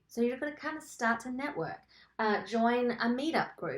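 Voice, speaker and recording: A woman with an Australian accent speaks in an animated tone. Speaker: songwriter and songwriting coach. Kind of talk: webinar tutorial. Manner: casual and animated.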